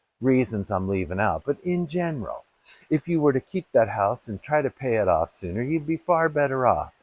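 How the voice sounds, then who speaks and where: Lively intonation marks a man's medium-pitched voice as he talks at a fairly quick pace. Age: 60s. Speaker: vlogger. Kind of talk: casual monologue. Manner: hesitant, many fillers.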